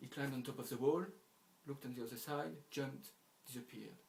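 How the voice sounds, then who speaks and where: Medium in pitch with some vocal fry, a man speaks very fast with ordinary pitch variation. Audible room echo surrounds his voice. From France. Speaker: storyteller. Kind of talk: oral storytelling.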